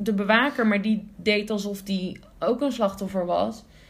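At a fairly slow pace, a woman talks in a somewhat breathy voice of medium pitch, her intonation fairly even. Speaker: podcast co-host. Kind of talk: casual chat.

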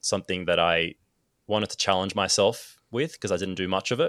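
At a fairly quick pace, a man with an Australian accent speaks on a very clean recording with a silent background and a dry, close sound without echo. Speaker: photographer and filmmaker. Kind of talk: casual chat.

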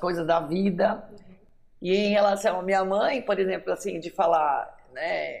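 The voice belongs to a woman. It is pitched on the lower side. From São Paulo city, born in Minas Gerais. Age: 50s. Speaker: writer and teacher. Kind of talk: interview testimony.

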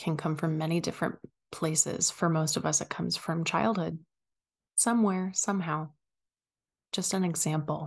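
The speaker has a calm, gentle tone that is somewhat breathy, with ordinary pitch variation. Long, frequent pauses break up the speech against a quiet background. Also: woman, fairly low pitch for a woman. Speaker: podcast host and wellness coach. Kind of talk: guided meditation. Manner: soft, slow, soothing; calm, gentle, paced with long pauses.

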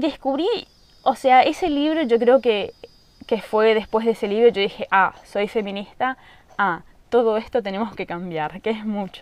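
Here is a woman with an unremarkable speaking voice and a fairly high pitch. She keeps a moderate pace and lively intonation. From Argentina, rural Misiones. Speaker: podcast host. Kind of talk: casual monologue. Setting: at home in the countryside.

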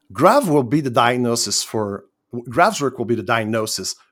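A man with a medium pitch and ordinary pitch variation is heard on a very clean recording with a silent background. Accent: Quebec. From Quebec, Canada. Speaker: online community member, former minister. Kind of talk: casual interview chat. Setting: voice chat. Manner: halting, frequent stammered restarts.

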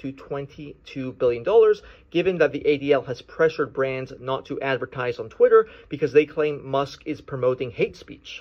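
A man's fairly high voice at a moderate pace, a normal speaking voice with ordinary pitch variation. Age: 30s. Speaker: attorney calling in to a show. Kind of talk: recorded listener question.

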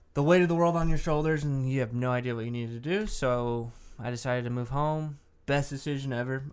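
At a very fast pace, a man of medium pitch talks with fairly even intonation in a Texan accent. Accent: Texan American. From Dallas, Texas. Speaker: podcast co-host. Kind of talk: casual chat.

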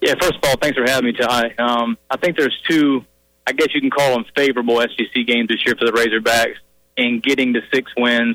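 A man speaks at a fairly quick pace with a bright, sharp tone, fairly even intonation and very even loudness. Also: medium pitch for a man, dry, close sound with no echo. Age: 30s. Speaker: college football writer. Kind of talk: radio interview. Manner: halting, with fillers and repetitions.

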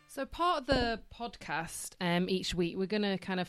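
A woman speaks at a moderate pace with a Yorkshire accent, her pitch fairly low. The recording is very clean, with a silent background. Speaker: social worker and podcast co-host. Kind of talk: casual chat.

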